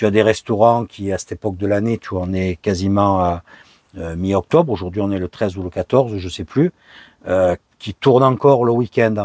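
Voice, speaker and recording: At a moderate pace, a man with a fairly low pitch and ordinary pitch variation speaks in a dry, close sound with no echo. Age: 60s. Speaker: vanlife vlogger. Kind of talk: casual Q&A monologue. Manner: hesitant, many fillers.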